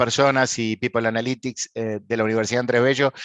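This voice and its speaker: In an Argentine accent, a man speaks at a fairly quick pace and a medium pitch with monotone, flat intonation, in a dry, close sound with no echo. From Argentina. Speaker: panel moderator. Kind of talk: panel introduction. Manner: hesitant with fillers.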